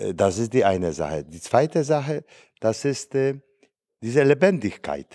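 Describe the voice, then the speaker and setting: A man's dark, mellow voice with a Polish accent, very slow, with very wide pitch swings, in a dry, close sound with no echo and a very clean recording with a silent background. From Poland. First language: Polish (speaking German). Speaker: priest. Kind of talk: casual chat. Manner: halting.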